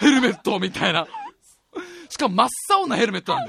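A man talks very fast in a raised, projected voice, high in pitch and animated in tone, with very wide pitch swings. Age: 20s. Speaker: radio podcast host, musician. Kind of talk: casual chat.

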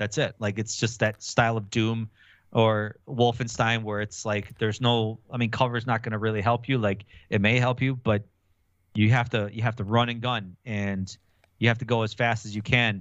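The delivery is monotone and flat at a moderate pace. The speaker has an Upper Midwest US accent. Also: man. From Wisconsin, Milwaukee. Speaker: gaming podcaster. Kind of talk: casual chat.

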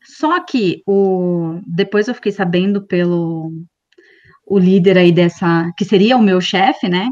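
A woman's medium-pitched voice moves along very slowly, with ordinary pitch variation. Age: 30s. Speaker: career content creator. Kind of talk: casual chat.

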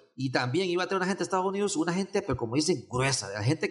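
Very fast talk with lively intonation against a quiet background. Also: man. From Honduras, San Pedro Sula. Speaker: event organizer, cybersecurity summit. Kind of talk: casual interview. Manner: halting, many repetitions and fillers.

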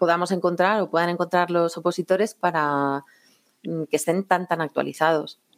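With a normal speaking voice, a woman of fairly low pitch talks at a moderate pace and fairly even intonation in a very clean recording with a silent background. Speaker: civil servant, exam prep contributor. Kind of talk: interview.

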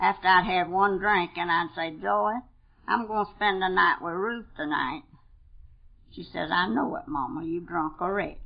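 This woman's fairly low voice carries vocal fry and lively intonation. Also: moderate pace. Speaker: AA speaker, longtime sober member. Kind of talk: recovery meeting talk. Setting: conference meeting room with audience.

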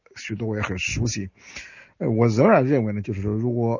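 This voice is somewhat breathy and shows ordinary pitch variation. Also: man. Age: 60s. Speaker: historian. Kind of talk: interview. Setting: remote via phone.

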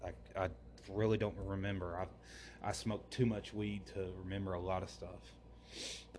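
With an American accent and vocal fry, the speaker talks at a fairly slow pace with lively intonation amid audible room echo. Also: man. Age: 20s. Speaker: religious podcaster. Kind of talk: religious monologue.

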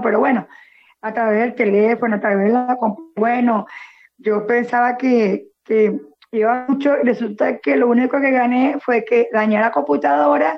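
Her intonation lively, a woman with a high pitch speaks at a fairly slow pace. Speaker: teacher and social pedagogy worker. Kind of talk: casual chat.

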